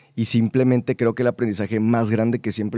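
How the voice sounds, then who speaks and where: Dry and close with no echo, a man's voice has a dark, mellow tone, medium pitch and fairly even intonation. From Mexico, Baja California Sur (La Paz). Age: 20s. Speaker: radio announcer. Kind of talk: casual interview chat. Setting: studio.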